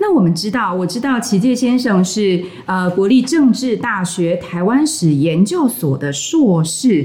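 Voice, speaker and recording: A woman at medium pitch with a Taiwanese accent, very wide pitch swings, a fairly slow pace and hardly any pauses, over noticeable background noise. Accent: Taiwanese Mandarin. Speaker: podcast host and Chinese teacher. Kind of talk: casual interview. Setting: studio.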